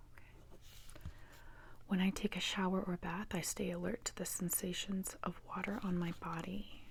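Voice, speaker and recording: A soft-spoken woman at a moderate pace. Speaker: ASMR performer; meditation guide. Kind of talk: ASMR role play.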